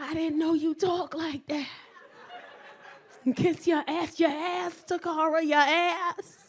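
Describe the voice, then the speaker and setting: Speech comes at a very slow pace with long, frequent pauses. Crowd noise fills the background. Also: woman, extremely high pitch for a woman. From New York, South Bronx. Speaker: comedian. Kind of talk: stand-up. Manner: animated.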